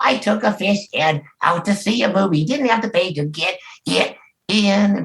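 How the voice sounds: A man performs a put-on character voice. It sits high in pitch and moves at a moderate pace.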